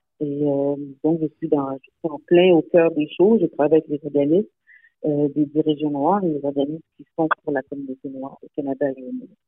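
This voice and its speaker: A woman speaks in a very deep, low voice, her loudness swinging widely from moment to moment. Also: ordinary pitch variation, moderate pace. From Montreal, Quebec. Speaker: nonprofit founder and executive director. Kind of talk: radio interview. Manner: halting, many hesitations.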